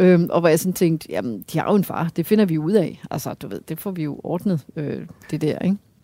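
A woman speaks in a fairly low, dark and mellow voice on a very clean recording with a silent background. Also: ordinary pitch variation, moderate pace. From Denmark, Hørsholm. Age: 50s. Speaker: astrophysicist. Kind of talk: interview over a meal.

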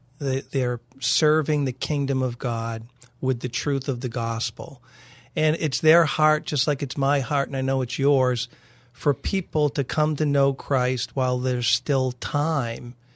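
A man with an ordinary speaking voice, fairly high in pitch, at a fairly slow pace with fairly even intonation, dry, close sound with no echo and a quiet background. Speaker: radio programming executive. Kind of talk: radio interview. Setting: studio.

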